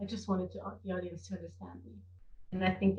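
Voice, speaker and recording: A woman speaks with vocal fry. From Switzerland, Zurich (German-speaking). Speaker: drag performer. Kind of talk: interview. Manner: halting with repetitions.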